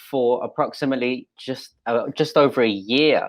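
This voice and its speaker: The man speaks at a fairly slow pace with fairly even intonation, and the background is quiet. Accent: English. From England. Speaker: pastor. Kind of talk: interview. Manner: halting.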